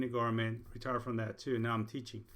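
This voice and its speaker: A man with a Spanish accent has a bright, sharp tone, heard with audible room echo. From Puerto Rico. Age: 60s. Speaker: college instructor. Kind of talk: lecture. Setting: recorded video lecture.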